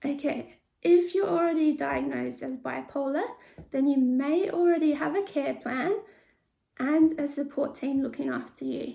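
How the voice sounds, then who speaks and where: A woman's high-pitched voice with a dark, mellow tone, an Australian accent, ordinary pitch variation and a moderate pace. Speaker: mental health vlogger sharing lived experience. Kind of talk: informational talk with personal testimony. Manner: hesitant, with repeated words.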